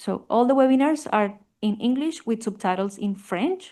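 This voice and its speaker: A woman with a Spanish accent talks with ordinary pitch variation against a quiet background. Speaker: family physician researcher. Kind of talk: conference presentation.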